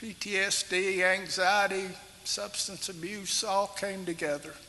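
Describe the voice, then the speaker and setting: A man's high-pitched, raised and projected voice with a Kentucky accent, monotone and flat in intonation, at a very slow pace over noticeable background noise. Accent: southern US (Kentucky). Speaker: retired police officer. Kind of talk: testimony. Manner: halting, with many fillers.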